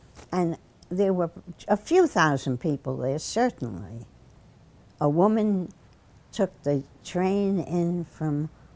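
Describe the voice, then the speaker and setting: Lively intonation runs through a dark, mellow tone at a very slow pace, broken by long, frequent pauses. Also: woman, fairly low pitch for a woman. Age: 80s+. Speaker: civil rights activist. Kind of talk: interview answer. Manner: halting, hesitant.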